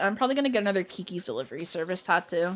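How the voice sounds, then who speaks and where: A woman's animated, medium-pitched voice with a Canadian accent and ordinary pitch variation. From Canada, Ontario. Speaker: gaming streamer. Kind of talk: casual live stream chat.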